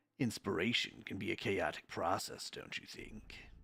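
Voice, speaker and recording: A man talks in a put-on character voice. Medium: virtual streamer. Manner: rambling, theatrical.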